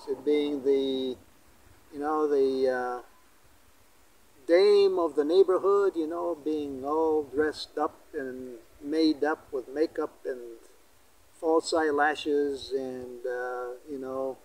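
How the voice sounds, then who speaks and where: A fairly high-pitched man at a very slow pace, with ordinary pitch variation and long, frequent pauses. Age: 70s. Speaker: religious vlogger. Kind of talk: reflective monologue. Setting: outdoors in a cemetery. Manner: halting.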